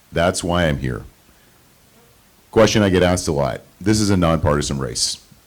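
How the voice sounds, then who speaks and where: Over noticeable background noise, a man talks at a very fast pace with a very deep, low pitch and ordinary pitch variation. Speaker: trustee candidate, marine reserve officer. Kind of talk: campaign speech. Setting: candidate forum with audience.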